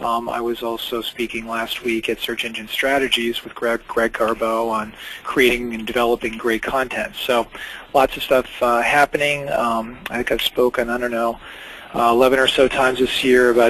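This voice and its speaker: A man talks in a monotone, flat intonation over noticeable background noise. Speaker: webinar host, company founder. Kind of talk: webinar presentation. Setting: online webinar. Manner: fast; hesitant with many fillers.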